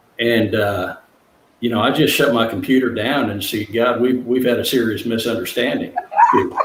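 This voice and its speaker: Noticeable background noise and audible room echo accompany a man whose intonation stays fairly even. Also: medium pitch for a man, moderate pace. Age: 60s. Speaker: author and counselor for men. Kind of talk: interview. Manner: halting, many fillers.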